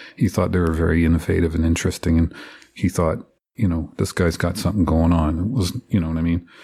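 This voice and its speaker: A man's very deep, low, somewhat breathy voice with a dark, mellow tone and an Ottawa Valley accent, at a very fast pace, with fairly even intonation and very even loudness, in a very clean recording with a silent background. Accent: Ottawa Valley Canadian English. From Ottawa Valley, Ontario, Canada. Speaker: record producer. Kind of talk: casual interview.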